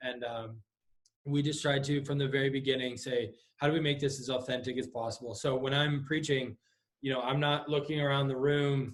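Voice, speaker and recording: A man's somewhat breathy, fairly high-pitched voice with monotone, flat intonation. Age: 20s. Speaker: pastor. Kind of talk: casual chat. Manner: halting, many fillers.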